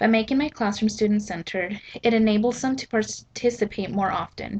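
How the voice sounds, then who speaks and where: A woman's somewhat breathy, medium-pitched voice at a fairly quick pace with fairly even intonation. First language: Spanish. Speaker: student teacher. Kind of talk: prepared statement read aloud. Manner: scripted, formal.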